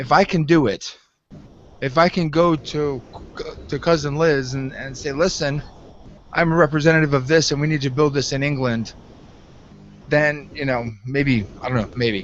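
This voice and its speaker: Pausing long and often, a man with an American accent talks at a moderate pace in a fairly high voice with ordinary pitch variation. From United States. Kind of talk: casual chat. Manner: halting.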